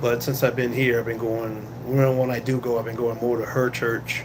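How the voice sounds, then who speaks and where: A man's medium-pitched, monotone, flat delivery at a moderate pace, with audible room echo and noticeable background noise. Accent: American. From Boston, Massachusetts. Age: 60s. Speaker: security guard and vlogger. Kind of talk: casual live-stream chat. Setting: guard shack on night shift. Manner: halting with many fillers.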